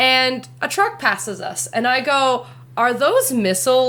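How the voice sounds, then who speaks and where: A woman with a Canadian accent speaks in a raised, projected voice with a high pitch. Her tone is bright and sharp, and her pace is fairly slow. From Canada. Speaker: podcast co-host. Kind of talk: casual chat.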